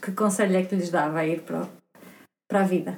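Audible room echo surrounds speech whose pitch varies in an ordinary way. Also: woman. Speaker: podcast host. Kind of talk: interview; scripted narration.

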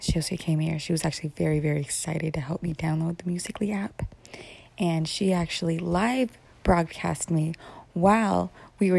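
A woman talks at a fairly quick pace. Her fairly low voice is somewhat breathy. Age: 30s. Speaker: podcaster and mother. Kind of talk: casual monologue. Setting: at home in the morning. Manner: rambling run-on speech.

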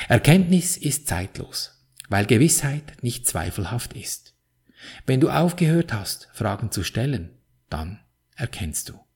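A man talks at a very slow pace, leaving long, frequent pauses, with vocal fry in his voice. His pitch swings very widely and his loudness shifts in big swings. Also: medium pitch for a man. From Switzerland. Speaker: podcast host, spiritual coach. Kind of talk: motivational monologue.

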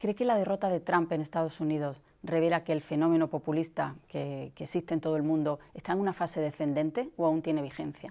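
At a fairly quick pace with hardly any pauses, a woman speaks in a very deep, low pitch with a dark, mellow tone and ordinary pitch variation. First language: Spanish (speaking Portuguese). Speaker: newspaper journalist interviewer. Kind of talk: interview.

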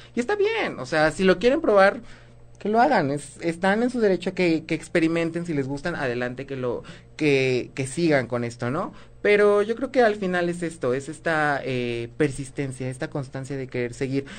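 Moderate-paced speech with music in the background. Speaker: drag performer. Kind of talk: casual chat.

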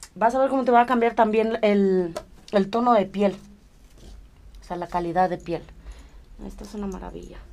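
A woman's medium-pitched voice at a moderate pace, with ordinary pitch variation, big swings in loudness, and long, frequent pauses. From Romania. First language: Romanian (speaking Spanish). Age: 30s. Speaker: aesthetic doctor. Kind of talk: casual chat with medical explanation.

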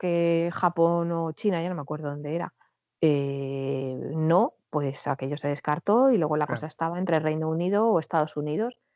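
Ordinary pitch variation runs through words spoken at a fairly slow pace. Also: woman. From Madrid, Spain. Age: 40s. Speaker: emigrant sharing her story. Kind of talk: interview testimony. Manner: halting, with repetitions.

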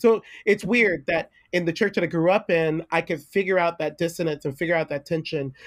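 A man talks at a moderate pace and a fairly high pitch, with ordinary pitch variation.

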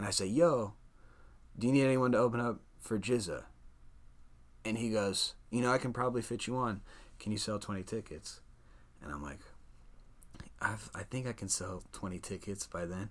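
Speaking with an American accent at a moderate pace, a man uses a medium pitch and takes long, frequent pauses. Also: ordinary pitch variation, very clean recording, silent background. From Des Moines, Iowa. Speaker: rapper. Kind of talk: casual interview.

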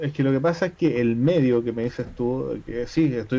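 With a Chilean accent, a man speaks in a dark, mellow tone with ordinary pitch variation. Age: 30s. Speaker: podcast co-host. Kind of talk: casual chat. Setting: home.

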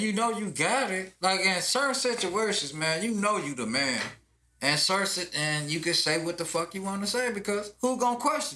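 Raised, projected male voice, high in pitch, lively in intonation and fairly quick, with noticeable background noise. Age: 40s. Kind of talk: casual chat. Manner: animated.

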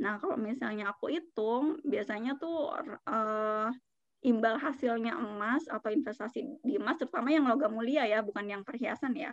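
The pitch varies in an ordinary way while the words move along at a moderate pace. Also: woman, high pitch for a woman. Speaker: financial advisor. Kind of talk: casual interview chat about personal finance.

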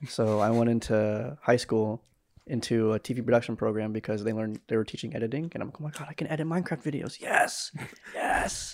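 Speaking at a fairly quick pace, a man has an ordinary speaking voice, medium pitch and ordinary pitch variation. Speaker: podcast host. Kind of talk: casual chat. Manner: joking, sarcastic.

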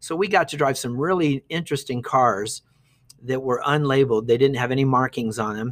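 A man talks fairly quickly at a medium pitch with ordinary pitch variation. It is an ordinary speaking voice on a very clean recording with a silent background. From Ohio, US Midwest. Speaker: retired teacher. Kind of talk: interview, casual storytelling.

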